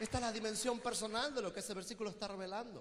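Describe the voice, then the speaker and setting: Over crowd noise and audible room echo, a man talks at a very fast pace in an animated tone and a raised, projected voice. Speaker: preacher and theologian. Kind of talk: sermon.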